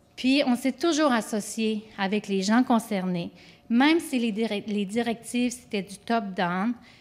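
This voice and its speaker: In a normal speaking voice, a woman talks at a fairly slow pace and a fairly high pitch, with ordinary pitch variation. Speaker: government project manager. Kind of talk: conference presentation.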